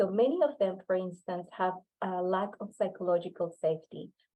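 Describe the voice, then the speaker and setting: This woman has a Spanish accent and a medium pitch. Her intonation is fairly even and her pace moderate. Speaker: workshop presenter, researcher. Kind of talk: lecture. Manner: halting.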